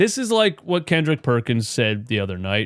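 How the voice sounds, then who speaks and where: A man with very wide pitch swings at a moderate pace, on a very clean recording with a silent background. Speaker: sports podcast host. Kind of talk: casual sports talk, post-game show. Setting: live stream. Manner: casual, conversational.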